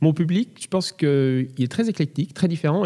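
A man at a fairly quick pace, with fairly high pitch, ordinary pitch variation and a dark, mellow tone, in a very clean recording with a silent background. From France. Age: 30s. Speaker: concert pianist. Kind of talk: interview. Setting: large echoing hall.

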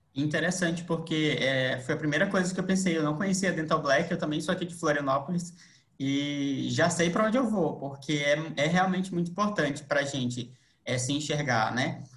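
Audible room echo hangs around speech that varies its pitch in an ordinary way at a moderate pace. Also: man, fairly high pitch for a man. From Manaus, Brazil. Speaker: lawyer and guest interviewer. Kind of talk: interview. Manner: halting.

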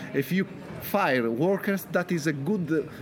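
Lively intonation in an Italian accent comes through over noticeable background noise. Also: man. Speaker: author. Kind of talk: interview answers, storytelling. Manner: halting, with fillers.

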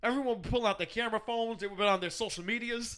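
A man's extremely high-pitched, raised and projected voice carries a bright, sharp tone in a very clean recording with a silent background. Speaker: podcast host. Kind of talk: casual banter podcast.

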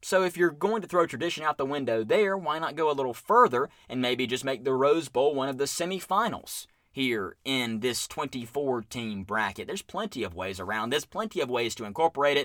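Fairly quick male speech at medium pitch, with very wide pitch swings and a bright, sharp tone. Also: very clean recording, silent background. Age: 20s. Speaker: sports podcast host. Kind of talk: solo sports commentary podcast.

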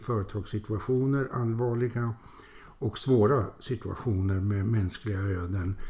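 The voice is somewhat breathy, with a dark, mellow tone. Its pitch moves in an ordinary way. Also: man. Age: 70s. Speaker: retired business executive and mentor. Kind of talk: interview.

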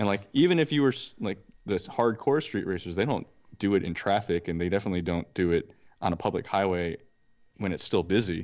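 Fairly low in pitch for a man, this is an unremarkable speaking voice with lively intonation. He talks at a fairly quick pace against a quiet background. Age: 20s. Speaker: podcast co-host. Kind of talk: casual chat.

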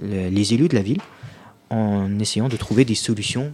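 With a fairly low pitch and ordinary pitch variation, a man speaks at a moderate pace. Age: 20s. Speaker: youth politician. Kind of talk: radio interview. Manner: halting.

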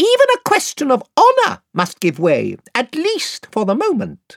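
A put-on character voice, high and shrill, at a moderate pace. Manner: courtly, formal, proud.

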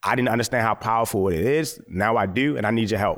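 Here is a man with an American accent and a medium pitch, talking at a fairly quick pace in a plain, everyday voice. The recording is very clean, with a silent background. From US, Baltimore, Maryland. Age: 30s. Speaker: photographer. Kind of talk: lecture.

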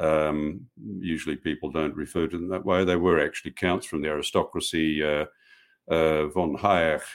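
A man speaks with an Australian accent at a moderate pace. His very deep, low voice is monotone and flat. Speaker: professor. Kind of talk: interview. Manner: hesitant, many fillers.

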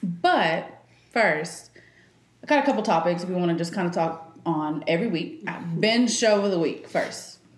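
Through noticeable background noise, a woman speaks at a fairly low pitch with ordinary pitch variation. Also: moderate pace. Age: 20s. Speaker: podcast co-host. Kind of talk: casual chat.

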